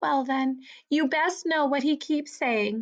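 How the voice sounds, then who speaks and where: A woman's put-on character voice, high in pitch, at a fairly slow pace. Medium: read story.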